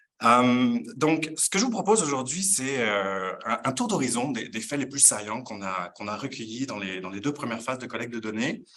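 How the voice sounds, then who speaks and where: A man with a medium pitch and a bright, sharp tone talks at a moderate pace with lively intonation and hardly any pauses. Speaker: professor. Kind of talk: lecture. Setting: conference room with in-person and online audience. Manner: hesitant, many fillers.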